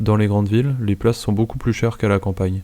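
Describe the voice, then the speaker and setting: A man's dark, mellow voice, fairly low in pitch, with monotone, flat intonation. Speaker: French teacher. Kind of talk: reading aloud. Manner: normal pace.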